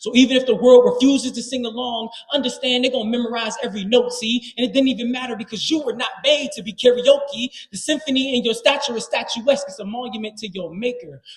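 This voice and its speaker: Talking very fast with hardly any pauses, a man uses an extremely high pitch, fairly even intonation and big swings in loudness over noticeable background noise. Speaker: slam poet. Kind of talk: live spoken word poetry performance. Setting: live stage with audience. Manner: commanding, heartfelt, rhythmic.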